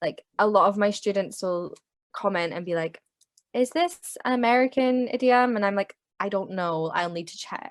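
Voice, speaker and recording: At a moderate pace, a woman with a British accent uses lively intonation and big swings in loudness, recorded dry and close with no echo. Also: medium pitch for a woman. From UK. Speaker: English language teacher. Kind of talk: interview conversation.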